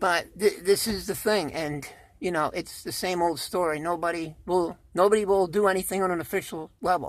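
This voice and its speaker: A woman speaks at a moderate pace in a medium pitch with fairly even intonation. It is a plain, everyday voice on a very clean recording with a silent background. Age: 60s. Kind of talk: casual talk to camera.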